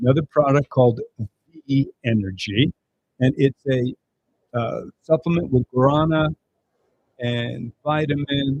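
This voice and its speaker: Ordinary pitch variation in a somewhat breathy delivery. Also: man. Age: 70s. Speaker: product presenter. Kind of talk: sales pitch.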